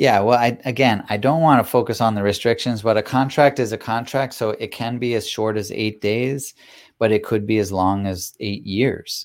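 A man speaks with an American accent in a normal speaking voice. His medium pitch has fairly even intonation at a moderate pace. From Massachusetts, US. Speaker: plant medicine retreat leader. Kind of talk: interview.

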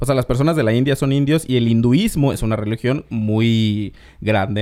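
A man speaks in a plain, everyday voice at medium pitch. His pace is moderate, and his pitch varies in an ordinary way. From Mexico, Oaxaca, Isthmus of Tehuantepec. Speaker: podcast host. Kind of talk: casual chat.

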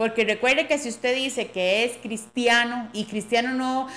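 This is a woman with a plain, everyday voice. She speaks at a fairly slow pace and fairly high pitch. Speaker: podcast host. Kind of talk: casual chat.

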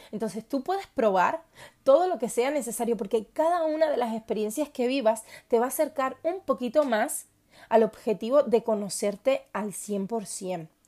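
The voice has a dark, mellow tone and lively intonation at a moderate pace. The recording is very clean, with a silent background. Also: woman, high pitch for a woman. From Cuba. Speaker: podcast host. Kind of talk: personal monologue. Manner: hesitant with fillers.

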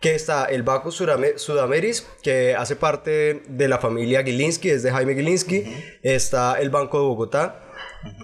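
A man talks at a moderate pace in a normal speaking voice. His pitch is fairly high, with ordinary variation. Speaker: podcast host. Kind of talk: casual chat. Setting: studio.

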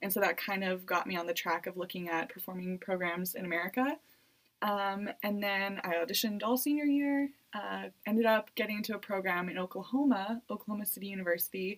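A woman with a Canadian accent speaks at a fairly quick pace in an unremarkable speaking voice. Her pitch is medium and varies in an ordinary way. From Canada, Edmonton, Alberta. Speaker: university student and dancer. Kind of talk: interview. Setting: studio.

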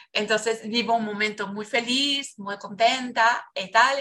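A woman with a Portuguese accent, her fairly high voice bright and sharp in tone. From Brazil. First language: Portuguese (speaking Spanish). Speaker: biodanza facilitator. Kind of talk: casual interview, life story testimony. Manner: passionate.

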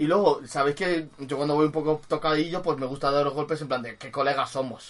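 A man with a fairly high pitch speaks in an animated tone. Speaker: podcast co-host. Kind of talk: casual chat.

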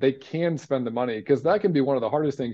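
Fairly quick pace, ordinary pitch variation, and a plain, everyday voice. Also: man. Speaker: financial planner and former pro baseball player. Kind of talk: casual chat.

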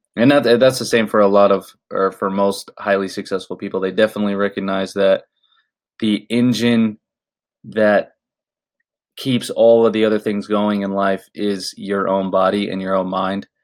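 In a very clean recording with a silent background, a man with an American accent speaks at a moderate pace, his fairly low pitch held in a monotone, flat intonation. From Florida. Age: 20s. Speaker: fitness podcaster, former marine. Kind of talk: casual monologue.

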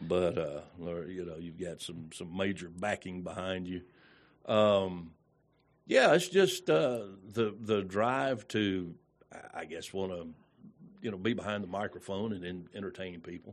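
Over a quiet background, a man with a Southern US accent speaks at a fairly slow pace in a very deep, low pitch, with big swings in loudness. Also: ordinary pitch variation. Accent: Southern US (Georgia). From Georgia, US South. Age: 60s. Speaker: radio personality. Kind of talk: casual interview chat. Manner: halting, many fillers.

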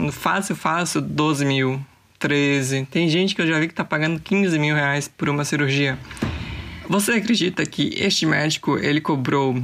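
Noticeable background noise sits behind a woman with a very deep, low pitch. Her loudness is very even, and her pitch varies in an ordinary way. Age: 20s. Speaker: podcaster. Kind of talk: casual solo monologue. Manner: animated.

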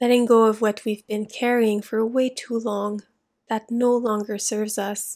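A woman with a fairly high pitch speaks in a gentle, calm tone at a fairly slow pace. Her intonation is monotone and flat, and the recording is very clean with a silent background. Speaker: meditation guide and creative coach. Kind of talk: guided meditation. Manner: slow, soft-spoken, soothing; gentle, calm, with long pauses.

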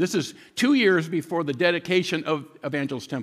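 A man with an ordinary speaking voice talks at a fairly quick pace, fairly high in pitch, with lively intonation. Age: 60s. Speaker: guest pastor. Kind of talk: sermon. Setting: church.

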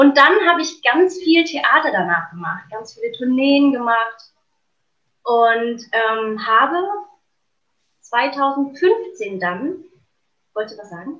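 A woman with a bright, sharp tone and high pitch talks at a very slow pace, her voice making very wide pitch swings and big swings in loudness. Long pauses come often. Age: 30s. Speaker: actress, singer and coach. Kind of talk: casual chat.

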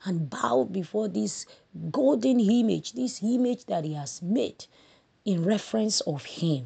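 A woman with a Nigerian accent speaks in a dark, mellow, somewhat breathy tone. Her pitch swings very widely over a quiet background. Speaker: Sunday school lesson presenter. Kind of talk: Bible study lesson summary, devotional teaching with prayer. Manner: earnest, fervent, prayerful, preacher-like; halting, repeats words while speaking.

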